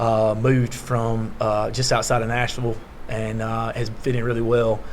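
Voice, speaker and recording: A man at a medium pitch, with noticeable background noise and audible room echo. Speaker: high school basketball coach. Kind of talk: media day interview. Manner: loud; hesitant, many fillers.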